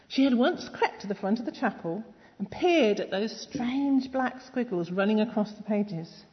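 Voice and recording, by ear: Someone reads aloud in a natural voice. The pitch varies in an ordinary way.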